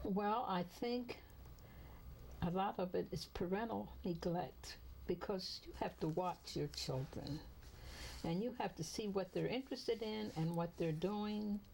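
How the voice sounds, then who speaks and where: A woman's medium-pitched voice with vocal fry and lively intonation at a fairly slow pace. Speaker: retired teacher. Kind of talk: oral history interview answer.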